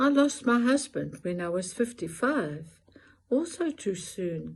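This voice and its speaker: Somewhat breathy, a woman speaks at a medium pitch and a very slow pace. Her pitch swings very widely. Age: 70s. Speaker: elderly interviewee sharing advice. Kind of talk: personal testimony.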